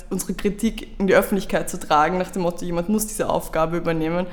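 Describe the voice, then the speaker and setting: A woman talks at a medium pitch over noticeable background noise. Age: 20s. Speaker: youth politician. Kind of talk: interview.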